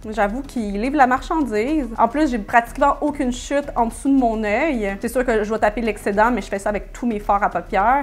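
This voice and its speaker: This woman speaks at a moderate pace with a fairly high pitch. Her pitch varies in an ordinary way. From Quebec. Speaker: beauty YouTuber. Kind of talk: makeup tutorial and product review. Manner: animated.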